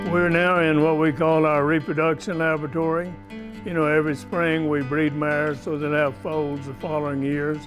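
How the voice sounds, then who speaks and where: Fairly high-pitched man at a moderate pace, fairly even intonation, music in the background. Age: 80s+. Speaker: horseman and stockman, retired agriculture professor. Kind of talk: interview answer.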